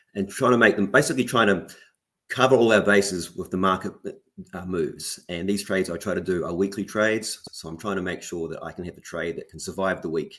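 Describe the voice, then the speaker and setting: This man has a very deep, low pitch and a New Zealand accent. He speaks at a fairly quick pace. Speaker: options trader. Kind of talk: interview. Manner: hesitant, many fillers and repeats.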